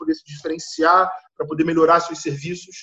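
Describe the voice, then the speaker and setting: A fairly high-pitched man's voice in a monotone, flat intonation. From Nova Iguaçu, Rio de Janeiro, Brazil. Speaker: lead software developer. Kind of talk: casual group discussion.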